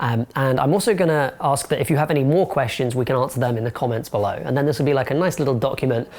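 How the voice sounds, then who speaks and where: Speaking with a London accent at a very fast pace, a man shows ordinary pitch variation over noticeable background noise. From London, England. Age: 20s. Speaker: film reviewer and video essayist. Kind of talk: casual to-camera Q&A monologue.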